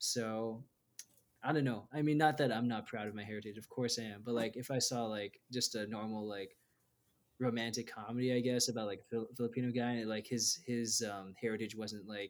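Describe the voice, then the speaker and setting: The speech comes at a fairly quick pace in an American accent, with fairly even intonation. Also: man. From Denver, Colorado. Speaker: graduate student. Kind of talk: interview. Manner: hesitant with many fillers.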